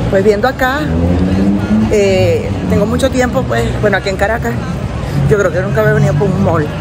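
A woman talks at a fairly quick pace. Music plays in the background. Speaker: amateur runner vlogger. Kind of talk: casual vlog chat.

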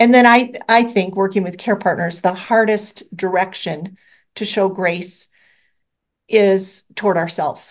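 An ordinary speaking voice comes through at a fairly slow pace. The intonation is fairly even, and the background is quiet. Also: woman, medium pitch for a woman. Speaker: nonprofit executive director. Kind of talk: panel discussion.

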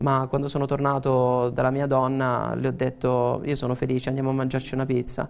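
At a fairly quick pace with hardly any pauses, a man speaks at medium pitch in a monotone, flat intonation with very even loudness. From Teramo, Abruzzo; Abruzzo. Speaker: actor. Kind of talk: TV interview. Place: studio. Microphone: lapel.

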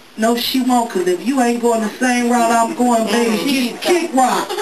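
A woman speaks over loud background noise. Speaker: pastor. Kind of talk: sermon. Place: church.

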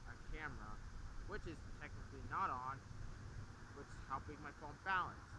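At a moderate pace, a man speaks in a dry sound with no echo over noticeable background noise. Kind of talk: casual vlog chat. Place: open country.

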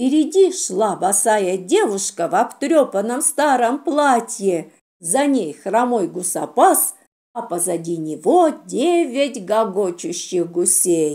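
A woman at a medium pitch talks slowly in a dark, mellow tone, her voice moving through big pitch swings.

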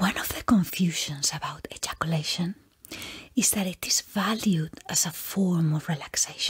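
With ordinary pitch variation, the talking proceeds at a moderate speed. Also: woman, fairly low pitch for a woman. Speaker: webcam host. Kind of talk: reading an informational text aloud. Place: home room. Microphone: webcam.

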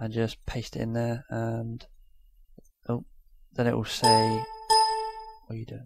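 Over music in the background, a man speaks quietly at a medium pitch, fairly slowly and in a monotone, flat way, with long, frequent pauses. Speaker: YouTuber. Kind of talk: tutorial. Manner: casual.

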